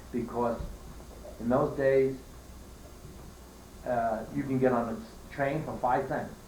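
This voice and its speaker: Monotone, flat intonation in a New York accent at a fairly slow pace, with long, frequent pauses and audible room echo. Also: man. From New York, Queens. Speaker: elderly relative telling family history. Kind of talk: family oral history interview. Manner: halting.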